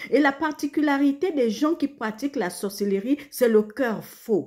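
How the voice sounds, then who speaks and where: A woman with a dark, mellow tone speaks very slowly, her intonation lively. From Gabon. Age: 60s. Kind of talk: religious exhortation. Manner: halting, repetitive stammers.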